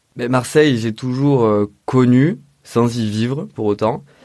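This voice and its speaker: Very slowly, a man speaks. His intonation stays fairly even. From Provence, Vaucluse (Orange). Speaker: sculptor and interior designer. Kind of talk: interview. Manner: hesitant, with fillers.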